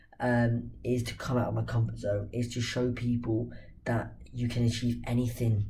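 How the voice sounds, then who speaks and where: A man talks at a moderate pace, and room echo is audible. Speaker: football channel host. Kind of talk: casual football talk to camera.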